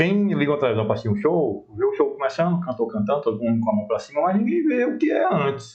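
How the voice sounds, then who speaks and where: A man with a northeastern Brazilian accent at a very fast pace, with hardly any pauses and very even loudness. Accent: local northeastern Brazilian. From Brasília. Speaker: talk show host. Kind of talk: interview.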